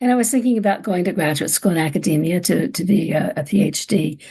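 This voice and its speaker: A woman with an American accent speaks at a moderate pace with lively intonation and a dark, mellow tone that is somewhat breathy. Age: 70s. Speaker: psychotherapist and author. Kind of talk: interview.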